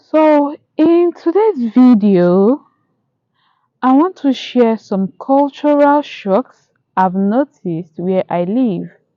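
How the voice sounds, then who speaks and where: At a very slow pace, a woman with a Nigerian accent speaks in a high voice with very wide pitch swings. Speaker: YouTuber. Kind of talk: casual vlog monologue. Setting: outdoors in a park.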